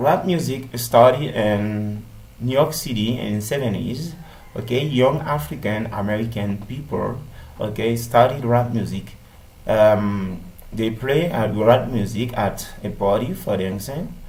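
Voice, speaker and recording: Audible room echo accompanies a man speaking at a fairly slow pace and medium pitch with ordinary pitch variation. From Haiti. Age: 30s. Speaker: English language student. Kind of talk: class presentation. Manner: halting, many fillers.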